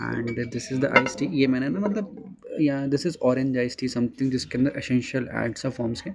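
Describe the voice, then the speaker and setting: With noticeable background noise around him, a man talks at a medium pitch and a moderate pace, with ordinary pitch variation and hardly any pauses. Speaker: travel vlogger. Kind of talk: casual talk to camera.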